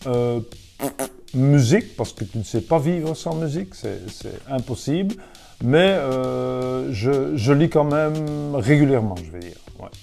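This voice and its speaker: Music plays in the background while a man at medium pitch speaks at a very slow pace. His intonation is lively, with big swings in loudness. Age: 60s. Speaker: former football goalkeeper and pundit.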